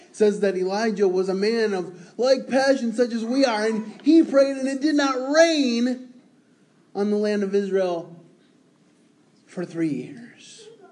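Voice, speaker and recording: A man's high-pitched voice at a fairly slow pace, with ordinary pitch variation, big swings in loudness and audible room echo. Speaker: preacher. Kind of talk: sermon.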